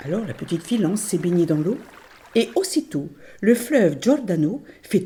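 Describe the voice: The clip is plain reading aloud. The words are simply read out.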